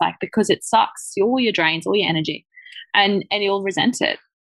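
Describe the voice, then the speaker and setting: Using an Australian accent, a woman talks at medium pitch and a moderate pace with ordinary pitch variation. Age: 30s. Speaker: chocolate business founder. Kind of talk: casual interview chat.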